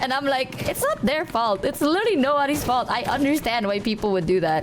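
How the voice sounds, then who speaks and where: A woman with a high pitch, very wide pitch swings and a fairly quick pace, her loudness very even, with noticeable background noise behind her. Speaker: streamer. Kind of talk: casual chat. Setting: live stream.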